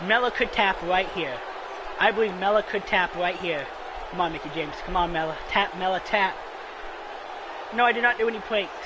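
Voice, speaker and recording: A man's high-pitched voice at a fairly quick pace with ordinary pitch variation and long, frequent pauses, crowd noise in the background. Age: 20s. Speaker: gaming streamer. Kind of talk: live gameplay commentary. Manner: animated.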